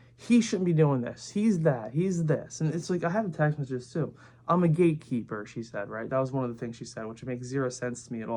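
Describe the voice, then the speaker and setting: A man's very fast, lively delivery with hardly any pauses, big swings in loudness and a dark, mellow tone. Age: 20s. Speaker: vlogger. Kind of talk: casual monologue.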